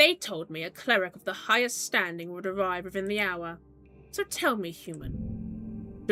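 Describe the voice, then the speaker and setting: A shrill, put-on character voice at a moderate pace over faint music in the background. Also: woman, medium pitch for a woman. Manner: haughty, imperious.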